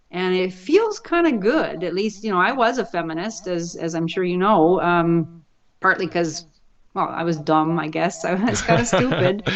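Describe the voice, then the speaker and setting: Over noticeable background noise, a woman with a Canadian accent speaks at a moderate pace and fairly low pitch, with ordinary pitch variation. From Canada, Vancouver. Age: 60s. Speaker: professor. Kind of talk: interview.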